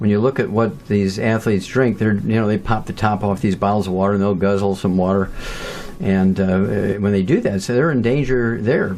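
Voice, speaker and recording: Loudness stays very even and pitch varies in an ordinary way, with noticeable background noise behind the voice. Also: man. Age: 70s. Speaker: nutrition researcher. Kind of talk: interview.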